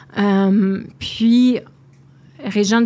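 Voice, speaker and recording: A woman is speaking. Her pitch is fairly high. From Outaouais, Quebec. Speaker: playwright. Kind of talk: interview. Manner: halting.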